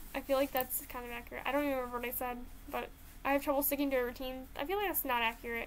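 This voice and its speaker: A woman speaks at a very fast pace in a high pitch with fairly even intonation. Noticeable background noise runs underneath. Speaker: YouTuber taking a personality test. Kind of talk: casual chat. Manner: loud.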